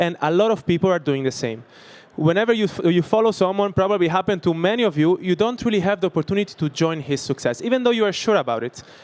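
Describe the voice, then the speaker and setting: With an Italian accent, a man speaks at a very fast pace in a high pitch with very wide pitch swings, the sound dry and close with no echo. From Italy. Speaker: startup founder. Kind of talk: sales pitch. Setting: stage with audience. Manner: halting.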